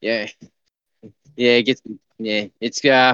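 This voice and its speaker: A man with an Australian accent, bright and sharp in tone, at a fairly slow pace, with a dry, close sound with no echo. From Queensland, Australia. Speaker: listener calling in. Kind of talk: casual chat. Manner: halting, many fillers.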